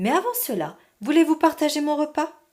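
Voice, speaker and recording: High pitch in a put-on character voice. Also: moderate pace. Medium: read story. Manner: polite, formal.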